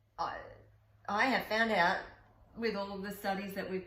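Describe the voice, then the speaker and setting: A woman of medium pitch talks at a moderate pace. Noticeable background noise and audible room echo are present. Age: 60s. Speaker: wellness coach and podcast co-host. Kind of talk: casual interview chat.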